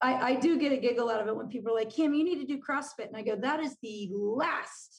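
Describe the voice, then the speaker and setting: Talking very fast with hardly any pauses, a woman with a Californian accent speaks at a high pitch with ordinary pitch variation. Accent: General American (Californian). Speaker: business coach and former college soccer player. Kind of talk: interview conversation.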